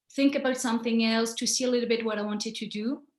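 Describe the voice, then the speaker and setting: Against a quiet background, a woman with a French accent speaks at a fairly high pitch and sounds somewhat breathy. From France. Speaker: photographer. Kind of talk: presentation. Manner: halting.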